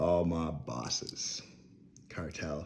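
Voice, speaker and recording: A man with a very deep, low pitch talks with lively intonation amid audible room echo. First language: French. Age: 30s. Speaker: vlogger. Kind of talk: rant. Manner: rambling, jumping between topics.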